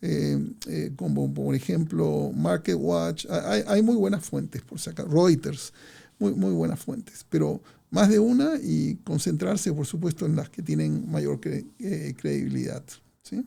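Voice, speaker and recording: In a very clean recording with a silent background, a man talks at a fairly slow pace. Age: 60s. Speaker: financial analyst. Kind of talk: market commentary monologue. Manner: hesitant, many fillers.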